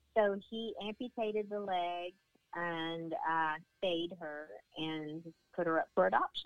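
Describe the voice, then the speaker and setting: Speaking very slowly in a Southern US accent, a woman uses a fairly low pitch with ordinary pitch variation. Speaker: therapy dog handler and dog owner. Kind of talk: casual interview. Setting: phone call. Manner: warm, chatty, laughs often.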